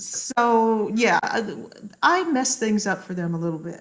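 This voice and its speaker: The voice is somewhat breathy, with an American accent. It moves at a fairly slow pace with lively intonation. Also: woman. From US, military upbringing in various places. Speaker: social psychologist. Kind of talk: podcast interview.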